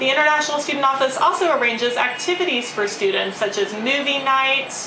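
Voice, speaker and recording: Ordinary pitch movement in a female voice, with background noise clearly noticeable. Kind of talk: promotional talk to prospective students. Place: office. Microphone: camera far.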